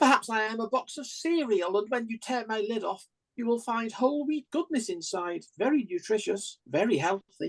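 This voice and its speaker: A woman speaks with a Staffordshire accent at a moderate pace, her pitch fairly high and her intonation lively. The sound is dry and close, with no echo. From Staffordshire, England. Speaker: open mic poet. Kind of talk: poetry reading.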